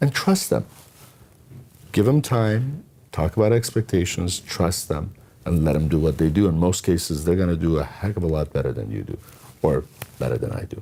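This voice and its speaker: A man with a very deep, low voice and a dark, mellow tone speaks with vocal fry and very wide pitch swings. He leaves long, frequent pauses. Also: moderate pace. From Iran. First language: not English (English is his third language). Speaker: entrepreneur. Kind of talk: interview.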